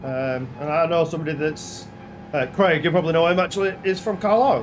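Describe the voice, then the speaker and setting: With a Lancashire accent and ordinary pitch variation, the speaker is heard with audible room echo and music in the background. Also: man, high pitch for a man, fairly quick pace. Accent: Lancashire accent, self-described as annoying. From northern England, Blackburn, Lancashire. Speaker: gaming streamer. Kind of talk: live-stream commentary while sim racing. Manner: casual, halting with fillers.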